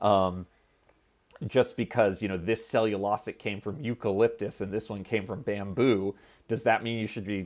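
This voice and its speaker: A man speaks at a fairly low pitch in a normal speaking voice. The recording is very clean, with a silent background. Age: 30s. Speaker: biotech company co-founder and scientist. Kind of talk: interview.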